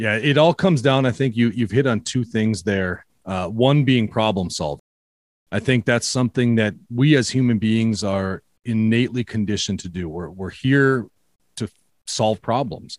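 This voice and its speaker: A medium-pitched man with a Minnesota accent at a moderate pace and ordinary pitch variation, dry and close with no echo. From Minnesota, US. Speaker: podcaster, photographer and writer. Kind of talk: casual interview chat. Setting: video call.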